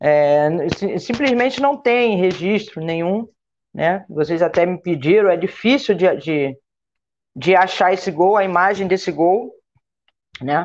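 Pausing long and often, a woman talks at a fairly slow pace in a medium pitch with lively intonation. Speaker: former national team football player. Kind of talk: panel discussion on live stream.

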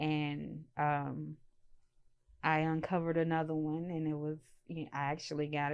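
Woman with a very deep, low pitch, a monotone, flat intonation and a fairly slow pace. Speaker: student co-host. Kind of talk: casual chat. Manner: calm.

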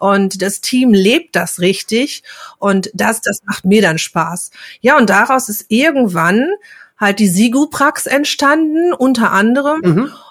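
Her speech comes very slowly. This woman uses lively intonation throughout. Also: fairly high pitch for a woman. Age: 50s. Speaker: pharmacy technician and trainer. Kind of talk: casual interview.

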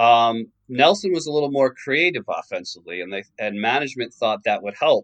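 In a dry, close recording with no echo, a man with a New York accent talks at a moderate pace. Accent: New York American. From New York suburbs, US. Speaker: author of a basketball book. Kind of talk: interview.

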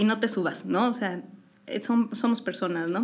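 At a moderate pace, a woman with a Mexican accent speaks in a fairly high pitch. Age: 40s. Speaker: visual artist and teacher. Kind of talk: casual interview.

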